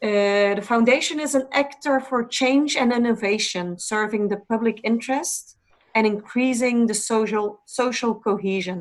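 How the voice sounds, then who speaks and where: A woman with a non-native accent speaks at a moderate pace with hardly any pauses. Her pitch is fairly high with ordinary variation, and her loudness stays very even. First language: not English. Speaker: foundation representative. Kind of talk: presentation. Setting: online webinar.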